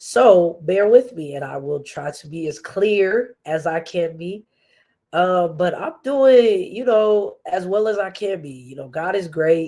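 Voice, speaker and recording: At a fairly slow pace, a woman speaks at medium pitch in a dark, mellow tone, her intonation lively and her loudness swinging widely. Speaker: podcast host. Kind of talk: casual livestream chat. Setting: livestream.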